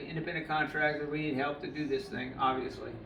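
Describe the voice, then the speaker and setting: Through audible room echo and noticeable background noise, a man is heard with a fairly high voice. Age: 70s. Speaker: dog groomer. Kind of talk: casual video monologue. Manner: halting, many fillers.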